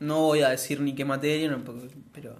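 Audible room echo surrounds a man who speaks with a Rioplatense accent. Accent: Argentine Rioplatense Spanish. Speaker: podcast co-host. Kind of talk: casual chat.

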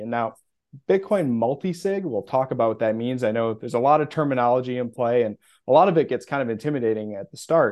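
Very fast and in an American accent, a man talks at medium pitch. His pitch variation is ordinary. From US Midwest. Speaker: bitcoin custody specialist. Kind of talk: casual interview.

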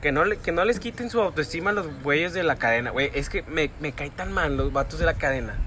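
A man talks at a moderate speed while noticeable noise sounds in the background. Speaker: podcast co-host. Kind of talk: casual chat. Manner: animated.

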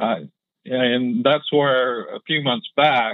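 A man speaks at a very slow pace. His pitch is medium. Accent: American. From Oklahoma. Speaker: caller. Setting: phone call.

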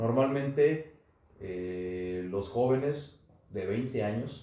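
Audible room echo and noticeable background noise around a man speaking at a medium pitch, his pitch varying in an ordinary way. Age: 30s. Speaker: politician. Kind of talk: podcast interview.

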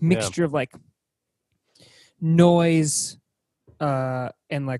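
The speech comes at a very slow pace in a slight Boston accent. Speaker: music podcast panelist. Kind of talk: casual chat. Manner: halting, many fillers.

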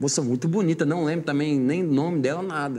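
A dark, mellow tone at a very fast pace, with ordinary pitch variation. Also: man. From Mato Grosso do Sul, Brazil. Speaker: sertanejo singer. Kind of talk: casual interview.

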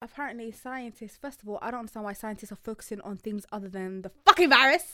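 A woman talks at a very fast pace with hardly any pauses, in a fairly high pitch with ordinary pitch variation. Her animated tone is bright and sharp, with big swings in loudness. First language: not English. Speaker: podcast co-host. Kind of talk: casual chat.

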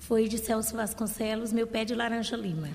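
Noticeable background noise sits behind a woman speaking at a fairly slow pace. Her pitch is fairly high. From Maranhão, Brazil. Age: 50s. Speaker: retired teacher. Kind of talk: interview conversation.

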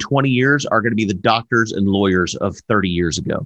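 A man talks at a moderate pace in a Southern US accent. His pitch makes very wide swings. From US South, southern Alabama. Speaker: podcast co-host. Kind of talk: casual chat. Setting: live stream. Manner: animated.

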